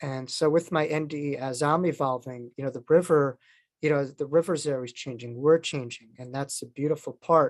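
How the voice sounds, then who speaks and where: In a very clean recording with a silent background and a dry, close sound free of echo, a man with a New York accent speaks at a fairly high pitch, his intonation fairly even but his loudness swinging widely. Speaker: near-death experiencer and author. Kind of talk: interview talk.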